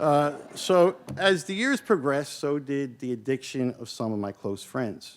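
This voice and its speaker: A man with a Philadelphia accent speaks at a fairly slow pace in a fairly high voice with lively intonation. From US Northeast, South Philadelphia. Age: 50s. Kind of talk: keynote talk.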